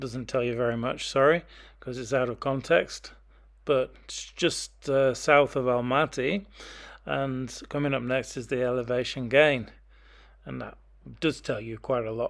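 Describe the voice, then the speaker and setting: Over a very clean recording with a silent background, a man with an English accent speaks at a fairly slow pace with fairly even intonation. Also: medium pitch for a man. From England. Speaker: hiker. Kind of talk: casual talk to camera.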